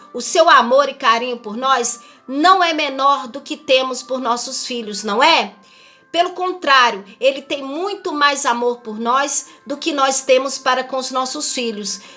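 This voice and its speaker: A woman speaks in a raised, projected voice with a high pitch and a bright, sharp tone. Her pitch varies an ordinary amount while her loudness swings widely. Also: fairly slow pace. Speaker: missionary preacher. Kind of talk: sermon. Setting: livestream.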